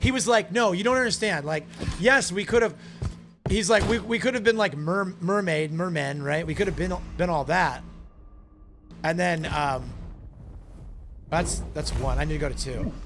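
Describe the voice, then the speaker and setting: A loud man speaks with a high pitch, lively intonation and an animated tone, leaving long, frequent pauses. Audible room echo and music in the background fill the recording. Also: moderate pace. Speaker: gaming streamer. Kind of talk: live stream commentary while gaming.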